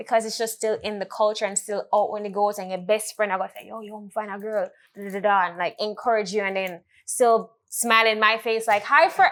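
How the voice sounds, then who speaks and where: A woman with a Jamaican accent and a fairly high pitch talks at a fairly quick pace. Her intonation stays fairly even while her loudness swings widely. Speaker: podcast host. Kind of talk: casual chat.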